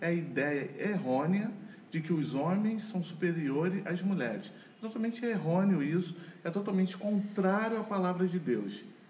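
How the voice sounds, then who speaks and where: A man's high voice at a fairly slow pace, with audible room echo and noticeable background noise. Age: 40s. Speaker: lawyer and church couples leader. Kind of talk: casual chat.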